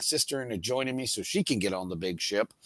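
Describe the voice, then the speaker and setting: A man with a medium pitch talks at a fairly quick pace in a plain, everyday voice. The recording is very clean with a silent background, dry and close with no echo. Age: 50s. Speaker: cruise vlogger. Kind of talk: casual chat.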